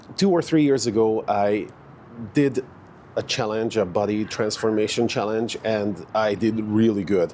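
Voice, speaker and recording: A man speaks with a Hungarian accent at a fairly low pitch. His pitch varies in an ordinary way. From Hungary. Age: 40s. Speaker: fitness vlogger. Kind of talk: casual vlog monologue. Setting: outdoors in a park. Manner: hesitant, many fillers.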